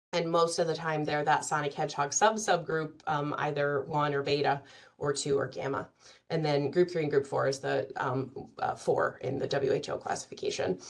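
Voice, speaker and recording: Her pitch shows ordinary variation. The woman talks at a fairly quick pace. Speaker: physician speaker at medical symposium. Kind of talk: conference lecture. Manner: fast; many fillers and hesitations.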